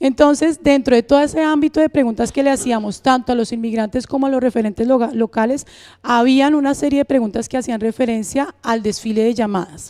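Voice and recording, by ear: A woman with a Colombian accent talks at a fairly quick pace with few pauses, her fairly high voice slightly mellow in tone and ordinary in pitch variation.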